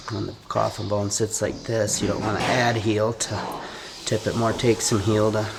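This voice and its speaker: Against noticeable background noise, a man talks at a moderate pace and a fairly low pitch in a monotone, flat intonation. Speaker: farrier. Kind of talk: casual chat. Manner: halting.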